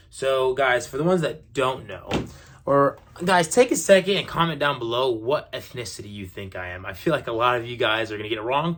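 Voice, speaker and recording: Speaking with an American accent, a man uses a plain, everyday voice at a medium pitch and a fairly quick pace. His intonation is lively, and his loudness swings widely. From USA, raised by Middle Eastern parents. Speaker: social media influencer. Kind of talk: casual vlog Q&A. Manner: casual with many fillers.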